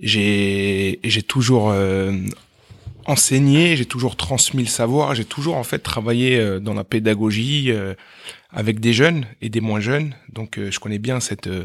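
At a very slow pace, a man speaks at a medium pitch with ordinary pitch variation, in a very clean recording against a silent background. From France, Meaux (Paris suburbs). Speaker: math teacher and entrepreneur. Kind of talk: interview. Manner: animated; halting.

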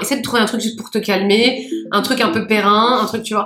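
A woman at a fairly quick pace with ordinary pitch variation, against noticeable background noise. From Seine-Saint-Denis, Paris suburbs, France. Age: 30s. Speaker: public sector digital program worker. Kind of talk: casual chat. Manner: hesitant, many fillers.

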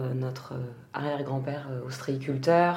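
A woman talks over noticeable background noise, with audible echo from the room. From France, Gironde (Arcachon basin). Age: 30s. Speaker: food event agency co-founder. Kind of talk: casual interview.

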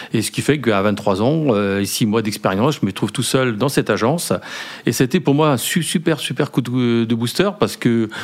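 Against noticeable background noise, a medium-pitched man talks at a moderate pace with lively intonation. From Brittany, France. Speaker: company founder. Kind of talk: interview. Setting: hotel lounge.

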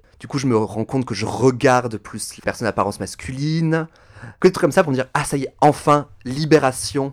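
At a fairly quick pace, a man with a plain, everyday voice talks at a medium pitch with ordinary pitch variation and big swings in loudness. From France, Toulouse. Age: 30s. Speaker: drag performer. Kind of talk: casual interview.

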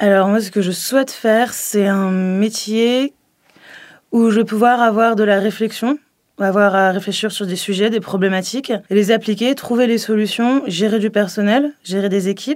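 A woman talks at a fairly slow pace with fairly even intonation. She has a fairly high pitch and an ordinary speaking voice. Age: 20s. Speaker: MBA student. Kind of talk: testimony.

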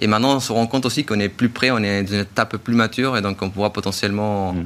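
A man talks at a very fast clip with hardly any pauses. His pitch sits fairly low, and his intonation stays fairly even. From Chile. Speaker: startup technical director.

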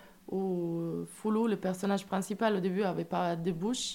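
Her medium-pitched voice has a dark, mellow tone, and this woman's intonation stays monotone and flat. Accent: Italian. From Italy. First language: Italian (speaking French). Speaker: musician, storyteller in a band. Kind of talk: radio interview. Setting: radio studio.

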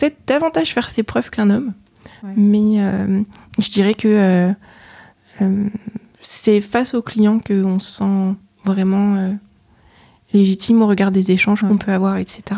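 With a dark, mellow tone and a medium pitch, a woman speaks with long, frequent pauses. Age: 30s. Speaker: chartered accountant and auditor. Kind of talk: interview. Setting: office. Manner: hesitant, many fillers.

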